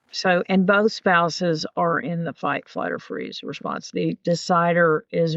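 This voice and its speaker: Fairly even in intonation and fairly slow, a woman speaks in a plain, everyday voice, the sound dry and close with no echo. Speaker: marriage crisis coach. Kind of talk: podcast interview answer.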